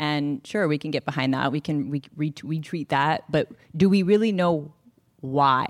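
In an American accent, a woman speaks with a very deep, low pitch and ordinary pitch variation at a moderate pace. The sound is dry and close, without echo. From Northern California. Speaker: author. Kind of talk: onstage interview. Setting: stage with audience.

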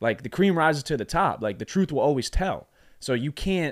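The recording is very clean with a silent background as a man speaks at a moderate pace with lively intonation. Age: 20s. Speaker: podcast co-host. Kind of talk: casual chat. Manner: halting.

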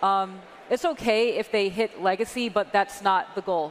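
Here is a woman with an ordinary speaking voice. Her pitch is medium and her intonation fairly even. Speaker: game designer. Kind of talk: panel Q&A.

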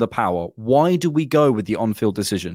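With an unremarkable speaking voice, a man of medium pitch talks at a fairly quick pace with lively intonation. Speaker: podcast host, Arsenal fan. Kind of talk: casual chat. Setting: video podcast recording.

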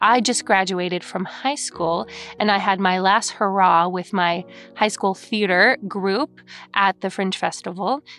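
A woman's medium-pitched voice with an American accent, music in the background. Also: ordinary pitch variation, fairly slow pace. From California, Lake Forest. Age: 30s. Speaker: actor and comedian. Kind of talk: casual storytelling.

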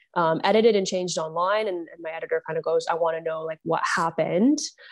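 A woman's fairly low voice at a very fast pace over a quiet background. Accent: Canadian. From Ontario, Canada. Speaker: journalist. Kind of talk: interview.

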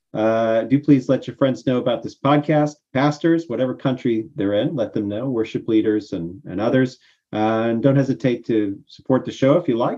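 A man with an American accent speaks at a medium pitch and a moderate pace, in a dark, mellow tone. His intonation is lively, and the background is quiet. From United States. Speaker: podcast host. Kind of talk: casual discussion of song lyrics. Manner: talkative.

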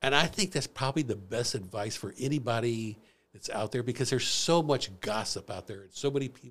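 This man talks fairly quickly in a Midwestern American accent, his pitch medium with ordinary variation. His loudness swings widely, and the recording is very clean with a silent background. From US Midwest, St. Louis area. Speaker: former finance professional, ex-prisoner. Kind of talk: personal testimony interview.

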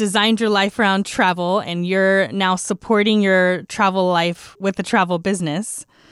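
Against a quiet background, a woman with an American accent speaks in an unremarkable speaking voice at medium pitch, with fairly even intonation, very even loudness and hardly any pauses. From Texas. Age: young. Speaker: travel podcast host, entrepreneur. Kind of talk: casual interview chat.

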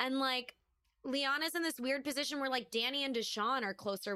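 A woman talks at a fairly quick pace with a high pitch. Her tone is bright and sharp. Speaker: podcast co-host. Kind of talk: casual chat.

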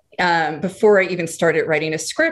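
A fairly quick delivery, noticeable noise in the background. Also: woman. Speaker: screenwriter and producer. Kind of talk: interview conversation.

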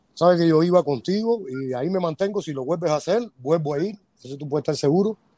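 Speaking at a very fast pace, a man uses a dark, mellow tone at a high pitch with ordinary pitch variation. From Cuba. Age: 50s.

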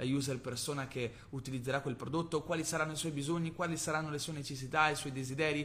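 A man talks at a very fast pace in a fairly high voice. His tone is enthusiastic. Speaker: podcast host, marketing entrepreneur. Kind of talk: casual solo podcast with Q&A. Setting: recording from Bali, Indonesia. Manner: conversational, enthusiastic.

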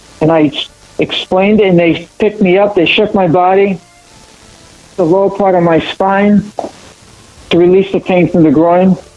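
A high-pitched man speaks at a moderate pace with fairly even intonation and very even loudness, leaving long, frequent pauses. Noticeable background noise can be heard. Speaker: martial arts champion, panelist. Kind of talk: panel discussion.

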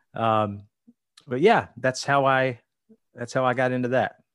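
Against a quiet background, a man at a medium pitch speaks with fairly even intonation. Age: 40s. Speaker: tour manager for a country singer, former district manager. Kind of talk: casual interview chat.

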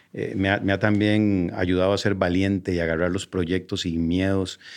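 A man's very deep, low voice in a monotone, flat delivery at a moderate pace, over a quiet background. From Costa Rica. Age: 40s. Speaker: entrepreneur and marketer. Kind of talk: interview.

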